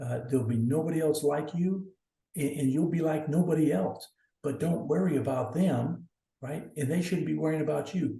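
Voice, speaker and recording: A man's fairly high voice with vocal fry, an American accent and ordinary pitch variation, in audible room echo. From US South, northeast Oklahoma. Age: 60s. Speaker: athletics director. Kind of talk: podcast interview. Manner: hesitant, many fillers and repeats.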